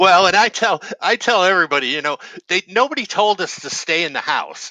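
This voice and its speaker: A man speaks in a raised, projected voice with a high pitch and ordinary pitch variation, at a fairly quick pace. The sound is dry and close, with no echo. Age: 60s. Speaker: community nonprofit leader. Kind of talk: casual interview. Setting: live video stream.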